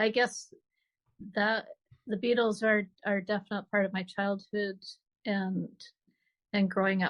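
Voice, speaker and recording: This woman speaks at a medium pitch. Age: 60s. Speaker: author. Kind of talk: interview. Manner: halting.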